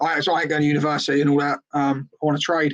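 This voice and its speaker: A man's fairly high-pitched voice. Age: 30s. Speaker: bricklayer and construction business owner. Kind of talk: podcast interview, personal story. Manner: casual, animated.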